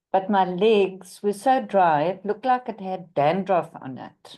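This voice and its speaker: A woman's dark, mellow tone at a fairly slow pace, with ordinary pitch variation and a quiet background. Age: 60s. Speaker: participant. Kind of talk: testimony.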